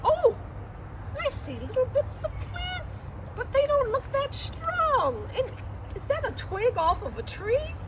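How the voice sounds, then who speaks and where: Against loud background noise, a put-on character voice speaks at a fairly slow pace. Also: woman, extremely high pitch for a woman. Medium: read story. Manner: wondering.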